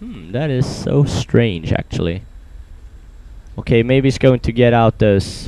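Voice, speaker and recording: A man at medium pitch with lively intonation, a fairly slow pace and long, frequent pauses, amid noticeable background noise. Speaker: esports commentator. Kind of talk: game commentary.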